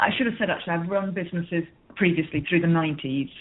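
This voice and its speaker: A woman with an English accent, fairly low in pitch, at a very fast pace. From northern England, Merseyside coast near Liverpool. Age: 50s. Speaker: business coach. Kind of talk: interview.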